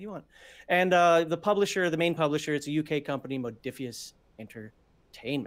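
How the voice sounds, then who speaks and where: A normal speaking voice with an American accent, lively intonation and a fairly quick pace. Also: man. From US Midwest (Minnesota). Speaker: tabletop RPG show co-host and producer. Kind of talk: casual chat. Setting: live stream video call.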